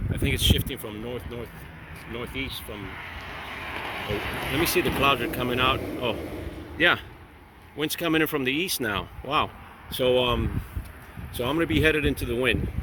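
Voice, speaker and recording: Over noticeable background noise, a man with an American accent talks at a medium pitch and moderate pace, with ordinary pitch variation and long, frequent pauses. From Miami, Florida. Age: 60s. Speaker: vlogger. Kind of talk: casual vlog monologue. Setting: outdoors on a bike ride. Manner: halting.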